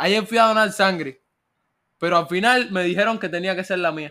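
On a very clean recording with a silent background, the tone is bright and sharp and the pitch varies in an ordinary way. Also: man. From Cuba. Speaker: podcast host. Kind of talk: casual chat.

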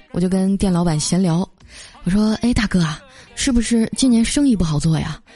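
Noticeable background noise sits behind a woman speaking at a fairly quick pace, her pitch medium with ordinary variation. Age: 20s. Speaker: podcast host. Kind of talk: comedic storytelling. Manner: animated.

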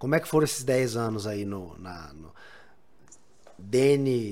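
Very wide pitch swings from a man at a medium pitch. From Bahia, Brazil. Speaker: podcast host. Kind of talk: casual interview.

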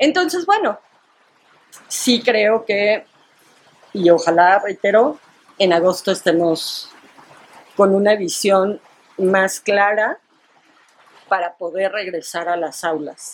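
A woman at medium pitch, very slow and with long, frequent pauses, her pitch varying in an ordinary way. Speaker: educator. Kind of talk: casual chat.

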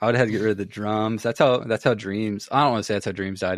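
An ordinary speaking voice from a man, fairly low in pitch and fairly even in intonation, with a dry, close sound, no echo and a quiet background. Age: 20s. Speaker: podcast host. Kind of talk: casual chat.

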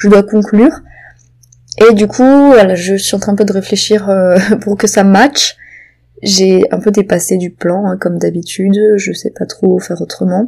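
A woman with a dark, mellow tone at a fairly slow pace, with long, frequent pauses. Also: medium pitch for a woman. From southwestern France, Béarn. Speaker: novelist and podcaster. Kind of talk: casual solo monologue. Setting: home. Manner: hesitant, many fillers.

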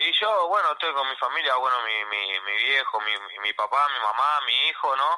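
A man speaks at a medium pitch and a moderate pace, with lively intonation. He hardly pauses at all. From Argentina, Córdoba. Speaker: professional boxer. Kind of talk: phone interview. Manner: halting.

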